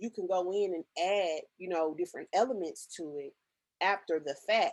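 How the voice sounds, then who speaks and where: A woman with an ordinary speaking voice talks at a medium pitch with ordinary pitch variation in a dry, close sound with no echo. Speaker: digital marketing strategist. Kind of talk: tutorial.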